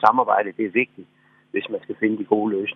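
A man talks at a fairly quick pace. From Southern Jutland, Denmark. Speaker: politician, former mayor. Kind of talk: radio interview. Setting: phone call. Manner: hesitant, repeats words.

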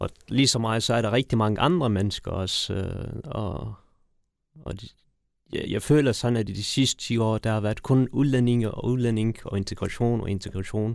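A man with a normal speaking voice at medium pitch talks at a moderate pace with ordinary pitch variation, in a very clean recording with a silent background. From Afghanistan, raised in Denmark. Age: 30s. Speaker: mayoral candidate, politician. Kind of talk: interview.

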